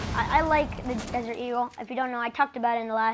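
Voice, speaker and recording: Very rapid delivery from a woman with a fairly high pitch, noticeable noise in the background. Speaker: gaming YouTuber. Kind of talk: gameplay commentary. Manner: halting, many fillers.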